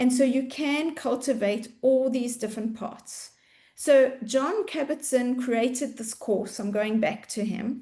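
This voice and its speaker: A woman with a South African accent speaks fairly slowly in a high pitch, with a dark, mellow tone and ordinary pitch variation. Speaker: mindfulness coach. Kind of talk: webinar presentation.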